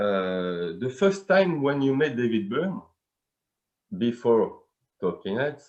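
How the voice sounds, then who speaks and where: This man talks at a very slow pace, with long, frequent pauses. His pitch swings very widely. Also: medium pitch for a man. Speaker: fan interviewer. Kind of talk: interview. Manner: halting.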